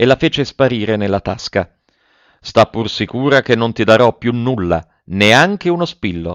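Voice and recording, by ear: Lively intonation in a natural voice reading aloud, the background quiet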